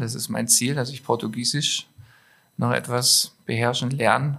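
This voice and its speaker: At a moderate pace, a man with an ordinary speaking voice talks with fairly even intonation. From Stuttgart, southwest Germany. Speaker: clothing designer and entrepreneur. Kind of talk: casual interview.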